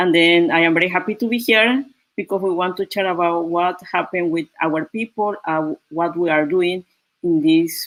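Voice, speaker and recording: A woman with a Panamanian accent and a fairly low voice. Her loudness stays very even throughout. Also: dry, close sound with no echo. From Panama, Guna Yala. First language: Spanish or Guna. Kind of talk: video call panel discussion. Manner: slow, careful non-native speech.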